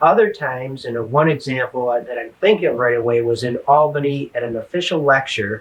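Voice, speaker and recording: Somewhat breathy, the voice runs at a fairly quick pace with hardly any pauses and ordinary pitch variation. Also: man, medium pitch for a man. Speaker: spiritual teacher interviewed about near-death experience. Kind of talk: interview. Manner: halting, many fillers and repeats.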